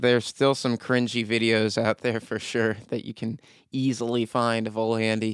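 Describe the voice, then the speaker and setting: A man talks at a moderate pace at a medium pitch. His intonation stays monotone and flat, and the sound is dry and close with no echo. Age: 20s. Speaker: metal vocalist and streamer. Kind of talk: casual interview. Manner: halting, repeats words.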